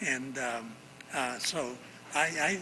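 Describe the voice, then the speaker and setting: An American accent comes through from a man at medium pitch with ordinary pitch variation. The room echo is audible, and background noise is noticeable. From El Rio, Oxnard, California. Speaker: community leader. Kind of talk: interview conversation. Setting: art gallery on location. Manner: halting, many repetitions.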